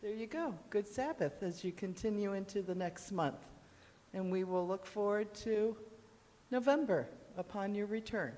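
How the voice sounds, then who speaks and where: The woman's medium-pitched voice has a dark, mellow tone. She talks at a moderate pace with lively intonation. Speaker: church member. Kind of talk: announcement. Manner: loud. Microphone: no microphone, speaking from afar.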